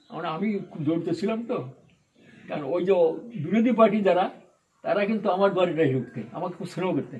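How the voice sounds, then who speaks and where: Lively intonation marks this man's delivery. His pitch runs high. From Bangladesh. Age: 80s+. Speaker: Satsang priest (ritwik). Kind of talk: interview answer, spiritual reminiscence.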